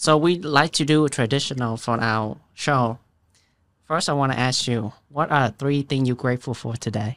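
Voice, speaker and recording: A man talks at a moderate pace in a plain, everyday voice. His pitch is medium with ordinary variation, on a very clean recording with a silent background. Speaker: podcast host. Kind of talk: interview conversation.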